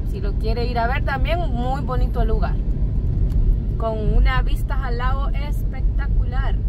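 A woman at a fairly slow pace, dry sound with no echo, over loud background noise. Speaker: passenger co-host. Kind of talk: casual vlog chat. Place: car. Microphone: phone near.

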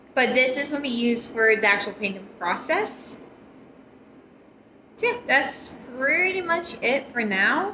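Her tone is bright and sharp as a woman speaks with a high pitch and lively intonation. She goes at a fairly slow pace, with audible room echo.

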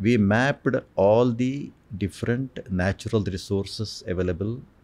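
A man with an Indian accent is speaking. His pace is fairly slow. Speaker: space scientist and geologist. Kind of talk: oral history interview. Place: studio. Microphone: studio mic.

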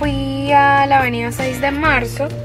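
A woman speaks while music plays clearly in the background. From Venezuela. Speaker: vlogger. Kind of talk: casual talk to camera. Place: car. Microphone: phone near.

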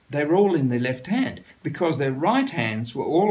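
This man speaks with an Australian accent. His intonation is lively. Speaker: writer. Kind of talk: interview answer. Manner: humorous anecdotal storytelling. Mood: amused, storytelling. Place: home room.

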